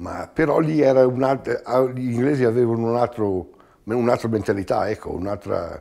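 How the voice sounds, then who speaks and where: The tone is dark and mellow, with ordinary pitch variation and a fairly slow pace. The background is quiet. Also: man. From Trentino, Giudicarie (Italy); Trentino. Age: 70s. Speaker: knife grinder emigrant. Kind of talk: interview testimony. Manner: halting. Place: home room.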